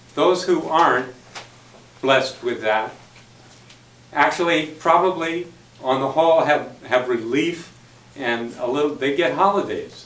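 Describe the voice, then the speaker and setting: A man's fairly high voice with ordinary pitch variation, at a fairly slow pace with long, frequent pauses, amid audible room echo and noticeable background noise. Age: 60s. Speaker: club member speaker. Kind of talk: impromptu speech.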